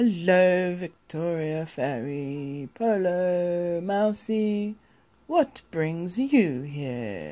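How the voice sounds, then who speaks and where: A man puts on a character voice, pitched high for a man, speaking very slowly with lively intonation. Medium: read story. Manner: warm, friendly.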